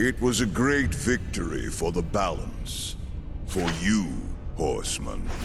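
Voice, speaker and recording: A man's put-on character voice at a fairly slow pace, over loud background noise. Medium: video game. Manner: solemn, imposing.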